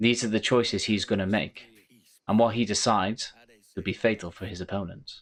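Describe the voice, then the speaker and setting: On a very clean recording with a silent background, a man with a Welsh accent talks at a fairly quick pace. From Wales. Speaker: gaming YouTuber, game reviewer. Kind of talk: scripted game review narration.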